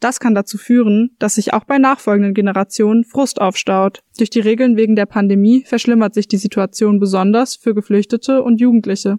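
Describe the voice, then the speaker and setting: A woman's fairly high, dark and mellow voice in a flat monotone, fairly quick with hardly any pauses, very even in loudness, with a dry, close sound and no echo. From Frankfurt. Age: 20s. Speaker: student, podcast host. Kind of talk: scripted narration.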